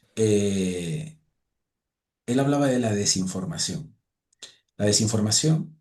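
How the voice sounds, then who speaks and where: A man speaks at a very slow pace, leaving long, frequent pauses. His tone is dark and mellow, and his intonation is lively. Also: medium pitch for a man. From Spanish islands (Balearic or Canary). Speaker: podcast host. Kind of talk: casual chat.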